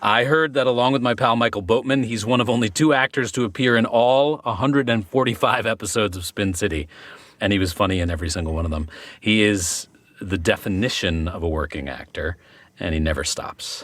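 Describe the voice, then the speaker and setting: On a very clean recording with a silent background, a man with an unremarkable speaking voice talks at a fairly low pitch and a fairly quick pace with lively intonation. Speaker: actor. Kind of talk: podcast conversation.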